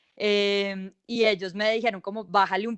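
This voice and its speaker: In an unremarkable speaking voice, a woman talks fairly slowly at a medium pitch with fairly even intonation. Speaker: journalist. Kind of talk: online panel discussion.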